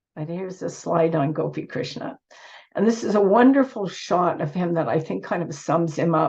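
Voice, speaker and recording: A woman with a fairly low pitch and a somewhat breathy voice talks at a moderate pace with lively intonation. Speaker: author and speaker on yoga. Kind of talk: conference talk. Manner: halting.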